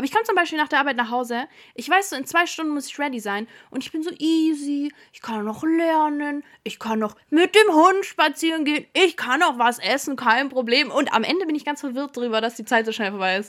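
Her voice high and her intonation lively, a woman talks at a fairly quick pace with big swings in loudness. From Stuttgart area, Germany. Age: 20s. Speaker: podcast co-host. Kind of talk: casual chat.

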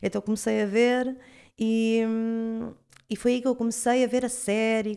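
On a very clean recording with a silent background, a woman with an unremarkable speaking voice talks fairly slowly at a fairly high pitch. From Portugal, Cacém (Lisbon area). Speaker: astrologer. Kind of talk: casual interview chat.

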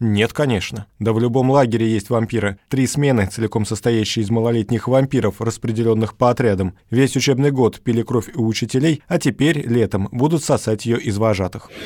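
Over a very clean recording with a silent background, a man of medium pitch speaks at a moderate pace with ordinary pitch variation. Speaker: book reviewer and radio journalist. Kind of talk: stand-up comedy parody book review. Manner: animated, joking, playful; interacts with an imagined audience, comic timing.

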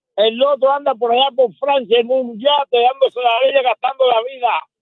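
A man with an extremely high pitch, at a moderate pace and fairly even intonation. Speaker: caller, former political prisoner. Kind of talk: call-in opinion.

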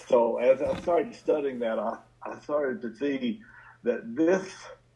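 A man with an American accent talks at a fairly slow pace in a plain, everyday voice with lively intonation. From southern West Virginia. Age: 60s. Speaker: addiction physician and author. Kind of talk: interview.

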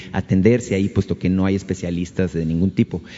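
A man with a very deep, low voice talks at a fairly quick pace in a flat, monotone way. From Mexico (Sonora). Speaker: radio journalist. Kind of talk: press conference question. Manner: halting.

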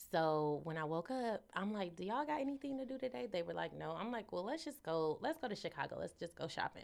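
At a very fast pace with hardly any pauses, the voice makes very wide pitch swings. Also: woman, medium pitch for a woman. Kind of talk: casual chat. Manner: animated.

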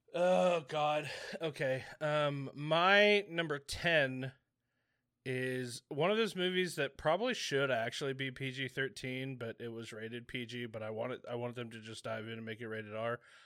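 A man's playful, bright and sharp delivery with lively intonation and big swings in loudness, on a very clean recording with a silent background. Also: medium pitch for a man, moderate pace. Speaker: podcast host. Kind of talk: casual banter. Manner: joking, playful.

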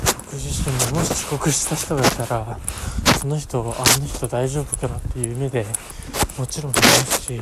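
A man talks at a moderate pace, with noticeable background noise present. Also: medium pitch for a man, fairly even intonation. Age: 20s. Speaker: solo podcaster with a part-time job. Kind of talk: casual monologue. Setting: outdoors, walking to the station. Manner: halting.

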